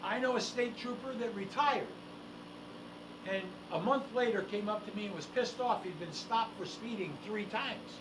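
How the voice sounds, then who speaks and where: A man with an American accent and a high voice talks at a moderate pace with ordinary pitch variation and long, frequent pauses, amid audible room echo and noticeable background noise. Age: 70s. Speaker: legal investigator and show co-host. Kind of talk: casual talk-show discussion. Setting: studio. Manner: animated.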